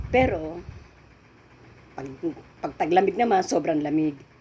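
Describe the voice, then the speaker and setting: A woman's voice moves through very wide pitch swings against noticeable background noise. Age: 70s. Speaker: vlogger. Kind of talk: casual chat.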